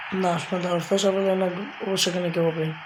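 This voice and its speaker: A woman with a fairly low pitch speaks in a monotone, flat intonation amid noticeable background noise and audible room echo. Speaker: gaming youtuber. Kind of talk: gameplay commentary.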